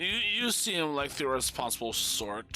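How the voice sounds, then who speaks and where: A man does a put-on character voice, fairly high, with very wide pitch swings. Clear background noise sits behind him. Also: moderate pace. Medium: actual play. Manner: warm, motherly.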